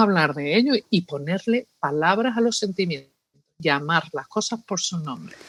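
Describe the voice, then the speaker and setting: A woman speaks at a moderate pace with lively intonation in an Andalusian accent. The sound is dry and close with no echo. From New York, Spanish family from Seville. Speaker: psychologist. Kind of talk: interview.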